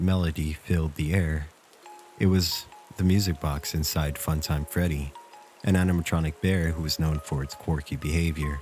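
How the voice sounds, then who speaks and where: Music plays behind a man with a very deep, low voice and a calm tone. He keeps a moderate pace and fairly even intonation. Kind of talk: horror story narration. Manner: calm, smooth, sleep-inducing.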